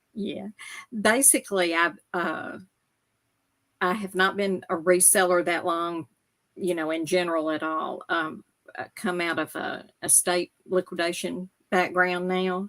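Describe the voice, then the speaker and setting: Recorded with a dry, close sound and no echo, a woman speaks at a fairly slow pace with fairly even intonation and long, frequent pauses. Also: medium pitch for a woman. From US South, Memphis area. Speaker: reseller. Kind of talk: casual chat.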